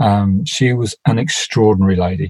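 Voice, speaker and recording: Lively intonation marks this man's fairly low, somewhat breathy voice. The sound is dry and close, with no echo. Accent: Cockney. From South London. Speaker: builder. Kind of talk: casual chat.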